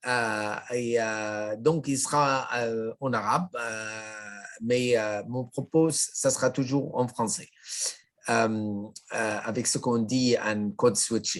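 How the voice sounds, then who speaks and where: Speaking very slowly with a non-native accent, a man keeps a medium pitch. His intonation is fairly even. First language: Arabic (speaking French). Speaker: sociology professor. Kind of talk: lecture. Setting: video call. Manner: halting.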